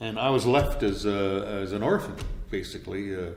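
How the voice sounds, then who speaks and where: A man at a moderate pace, with audible room echo and music in the background. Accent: Canadian. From Canada, Winnipeg. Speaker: radio voice-over announcer. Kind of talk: interview.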